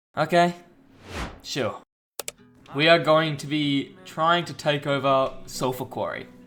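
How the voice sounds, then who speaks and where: Over background music, the speaker talks at a very slow pace in a relaxed tone, with monotone, flat intonation, long and frequent pauses, and big swings in loudness. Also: man. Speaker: video game player. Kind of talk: gameplay voice-over commentary. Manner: casual, relaxed.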